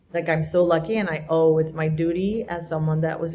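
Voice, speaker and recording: Somewhat breathy, a woman speaks at a moderate pace with a fairly low pitch. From Colombia. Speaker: immigration lawyer. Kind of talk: panel discussion.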